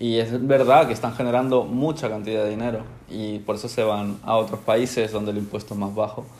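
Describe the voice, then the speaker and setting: A man with an ordinary speaking voice talks at a fairly quick pace, his medium pitch carried by fairly even intonation. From Spain (born in Ecuador, moved at age one). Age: 20s. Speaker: professional gamer. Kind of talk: interview.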